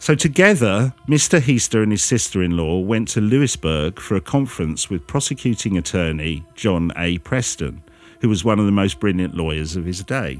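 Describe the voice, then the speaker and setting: Here is a man with an ordinary speaking voice and a fairly low pitch. He keeps a moderate pace with lively intonation and hardly any pauses. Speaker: podcast host. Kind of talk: true-crime narration, reading out the case story. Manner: measured, storytelling.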